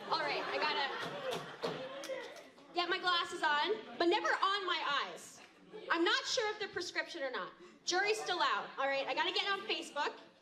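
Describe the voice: A put-on character voice with a bright, sharp tone moves at a moderate pace with lively intonation. Audible room echo and faint crowd noise sit in the background. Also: woman, extremely high pitch for a woman.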